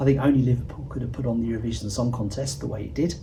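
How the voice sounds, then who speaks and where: A man's medium-pitched voice carries audible room echo. Noticeable background noise runs underneath. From southern England. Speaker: interviewee commentator. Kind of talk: interview.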